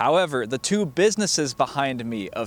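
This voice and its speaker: With lively intonation and a moderate pace, a man speaks in an unremarkable speaking voice. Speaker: college journalism student, TV reporter and anchor. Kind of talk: TV news reporter package narration.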